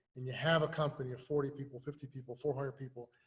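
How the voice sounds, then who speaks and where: Somewhat breathy, a man speaks at a fairly high pitch with an American accent. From US Midwest, inner city of Lincoln. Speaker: youth sports coach and nonprofit founder. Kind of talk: interview. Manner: casual, animated.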